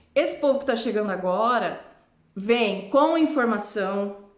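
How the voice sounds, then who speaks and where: A woman speaks in an animated tone with a Brazilian accent and ordinary pitch variation. Room echo is audible. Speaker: vlogger. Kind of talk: casual vlog monologue.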